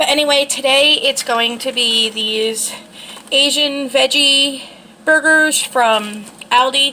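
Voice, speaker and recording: Over noticeable background noise, a woman with a high pitch uses a raised, projected voice at a very slow pace with fairly even intonation. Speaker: lifestyle vlogger. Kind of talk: casual vlog talk. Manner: filler-heavy, hesitant.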